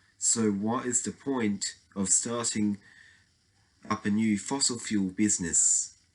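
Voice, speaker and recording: Speaking very slowly, a man talks with an Australian accent. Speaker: political commentary vlogger. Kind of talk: opinion monologue. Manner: halting.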